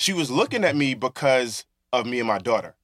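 Captured in a very clean recording with a silent background and a dry, close sound with no echo, a man speaks at a moderate pace and medium pitch. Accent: Brooklyn. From Brooklyn, New York. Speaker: author and community organizer. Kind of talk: casual interview.

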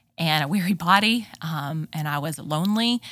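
In an American accent, a woman with a very deep, low pitch and a bright, sharp tone speaks at a moderate pace. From Texas. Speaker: moms' ministry leader. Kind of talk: casual interview.

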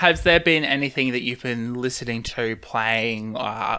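In an Australian accent, a man speaks at a medium pitch with a bright, sharp tone. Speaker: podcast host. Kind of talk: casual interview chat.

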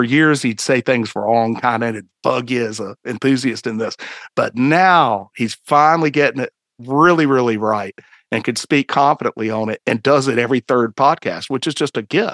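Heard dry and close with no echo, the speaker uses a Southern US accent, a moderate pace and ordinary pitch variation. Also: man, medium pitch for a man. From North Carolina, Greensboro. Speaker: citizen archaeologist and blogger. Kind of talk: casual chat.

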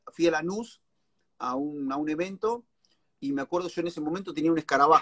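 Fairly high-pitched and bright, sharp in tone, a man talks at a very fast pace with long, frequent pauses and ordinary pitch variation, the sound dry and close with no echo. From Argentina, La Plata. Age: 40s. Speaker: stand-up comedian. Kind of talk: casual interview.

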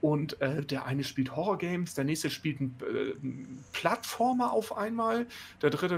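This man has a plain, everyday voice, pitched fairly high for a man and delivered at a moderate pace. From northern Germany. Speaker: gaming podcast co-host. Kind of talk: casual chat.

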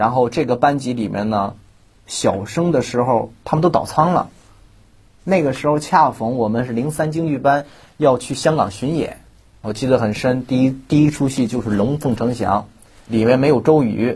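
A somewhat breathy, medium-pitched man's voice at a moderate pace, with ordinary pitch variation. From Shandong, China. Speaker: Peking opera performer. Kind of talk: interview.

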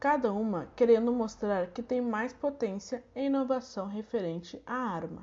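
Speaking in a normal speaking voice, a woman with a fairly high pitch talks fairly slowly with hardly any pauses and ordinary pitch variation. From southern Brazil, Santa Maria. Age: 20s. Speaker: student teacher. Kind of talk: recorded lesson reading.

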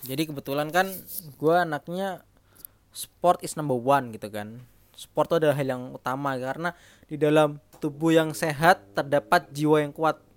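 A man's fairly high voice with a strong Javanese accent, ordinary pitch variation and a moderate pace, in a very clean, dry, close recording with no echo and a silent background. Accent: strong Javanese (medok). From East Java, Jember. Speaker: podcast co-host, banker. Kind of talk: casual chat.

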